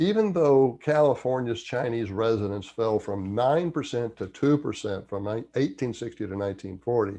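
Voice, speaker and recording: Against a quiet background, a man with a Southern US accent speaks in a dark, mellow tone. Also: medium pitch for a man, ordinary pitch variation, moderate pace, hardly any pauses. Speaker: history commentator. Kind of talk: history commentary read from notes.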